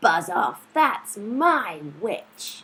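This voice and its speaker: This put-on character voice sounds female. It is croaky, growling, and shrill all at once. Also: fairly high pitch for a woman. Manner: gruff, dismissive.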